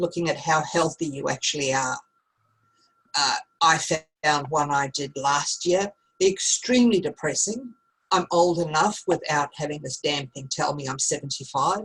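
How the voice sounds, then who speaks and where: A woman speaks with an Australian accent at a moderate pace. Her pitch is very deep and low, with ordinary variation. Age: 50s. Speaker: teacher. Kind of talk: online class. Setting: video call.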